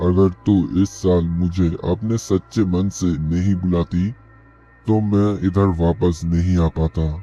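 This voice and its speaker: Using a put-on character voice with a very deep, low pitch, a man speaks at a fairly slow pace as faint music plays in the background. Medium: audio drama. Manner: tender, solemn.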